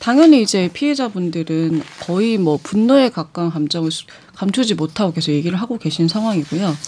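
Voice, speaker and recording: A woman with a plain, everyday voice speaks at a medium pitch. Her pace is fairly quick and her intonation lively. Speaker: news reporter. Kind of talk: news discussion.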